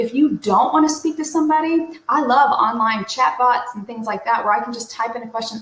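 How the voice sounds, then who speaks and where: A woman speaks at a very fast pace. Audible room echo surrounds her voice. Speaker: real estate coach. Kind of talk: tutorial. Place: home room. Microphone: webcam.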